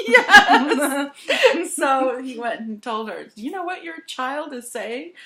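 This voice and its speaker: The voice is raised and projected, with a bright, sharp tone, very wide pitch swings, big swings in loudness and a very slow pace. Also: woman, high pitch for a woman, hardly any pauses. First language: Serbian. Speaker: painter and author. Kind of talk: casual interview chat. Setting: home studio.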